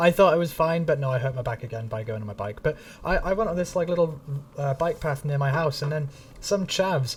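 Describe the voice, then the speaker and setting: The man talks at a fairly quick pace with ordinary pitch variation. His voice is somewhat breathy. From northern England, Manchester area. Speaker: gaming streamer. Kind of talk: live stream chat. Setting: live stream. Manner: casual, halting with fillers.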